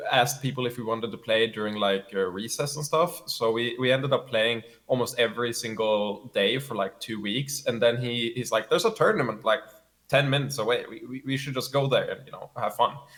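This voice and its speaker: Speaking at a fairly quick pace, a man with a Swedish accent keeps a medium pitch and fairly even intonation. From Sweden. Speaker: competitive gamer. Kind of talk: interview. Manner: halting, frequent fillers and repeats.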